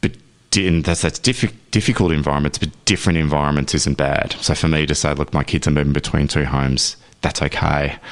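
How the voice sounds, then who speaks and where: Over noticeable background noise, the voice moves at a fairly quick pace with very even loudness and ordinary pitch variation. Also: man, very deep, low pitch for a man. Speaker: father, men's health and equality advocate. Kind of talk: radio interview answer. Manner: conversational, reflective.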